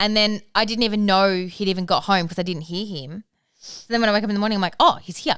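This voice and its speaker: The delivery is very fast, with ordinary pitch variation and big swings in loudness. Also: woman, medium pitch for a woman. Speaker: parenting podcast co-host and business owner. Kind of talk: casual chat.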